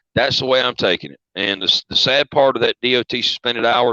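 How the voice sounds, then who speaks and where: A man speaks in a Southern accent with a bright, sharp tone. The sound is dry and close with no echo, and his intonation is fairly even. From US South. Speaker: truck driver. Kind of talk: casual chat.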